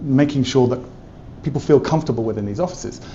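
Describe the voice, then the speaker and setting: With an English accent, a man speaks with fairly even intonation. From England. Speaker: tech company specialist. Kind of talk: interview. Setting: trade event in an office.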